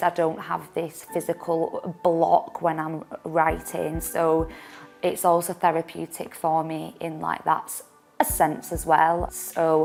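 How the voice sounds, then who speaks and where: A woman talks at a very slow pace while music plays behind her. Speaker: digital marketing assistant. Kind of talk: personal testimony to camera. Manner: stammers, disfluent with repetitions and blocks.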